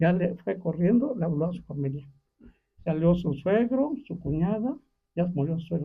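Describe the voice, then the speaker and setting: Lively in intonation and high in pitch, a man speaks at a moderate pace. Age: 70s. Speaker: community elder sharing memories. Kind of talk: storytelling in a group conversation.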